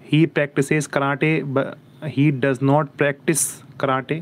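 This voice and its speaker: A man speaks in a monotone, flat intonation at a fairly high pitch. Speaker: English teacher. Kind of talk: live online English lesson. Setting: YouTube livestream. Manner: slow, dictation-like reading of example sentences.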